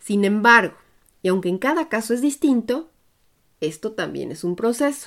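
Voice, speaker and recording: Taking long, frequent pauses, a woman speaks at a moderate pace in a fairly high pitch with lively intonation. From Mexico, Puebla. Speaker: podcast host and expat coach. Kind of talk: scripted narration.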